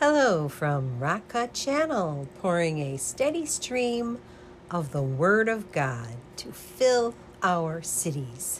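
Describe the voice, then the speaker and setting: A woman with a fairly low, somewhat breathy voice speaks at a very slow pace, with very wide pitch swings. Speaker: prayer ministry leader. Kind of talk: fervent prayer and devotional preaching. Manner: fervent, earnest, intense prayer.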